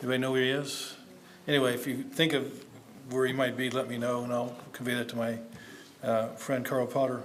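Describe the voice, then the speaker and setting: A man's medium-pitched, monotone, flat voice amid audible room echo and noticeable background noise. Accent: American. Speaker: academic conference speaker. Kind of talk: conference paper presentation. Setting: conference session, seated. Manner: hesitant, many fillers; hurried.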